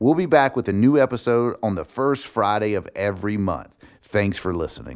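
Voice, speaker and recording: A man's fairly low voice with lively intonation, a normal speaking voice. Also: moderate pace. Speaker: podcast announcer. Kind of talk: scripted intro and outro.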